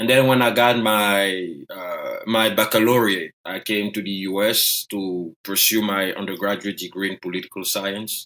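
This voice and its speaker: A man with a French accent and a fairly low pitch, fairly even intonation and a moderate pace. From Ivory Coast. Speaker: economist and author. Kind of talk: interview.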